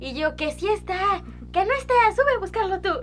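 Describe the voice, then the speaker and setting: A woman speaks with a Mexican accent. Music plays in the background. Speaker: podcast co-host. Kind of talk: casual chat.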